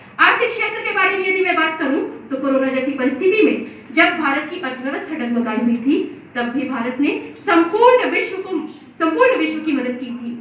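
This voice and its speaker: Noticeable background noise behind a woman's high-pitched voice at a moderate pace. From India, Chhattisgarh. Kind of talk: declamation contest speech. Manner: oratorical, impassioned.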